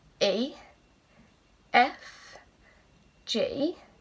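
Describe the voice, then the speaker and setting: A woman with an English accent and a bright, sharp tone. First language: British Sign Language. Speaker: teacher. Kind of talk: tutorial.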